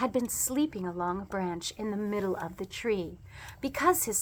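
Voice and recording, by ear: The speaker reads aloud in a natural voice, pitch varying in an ordinary way.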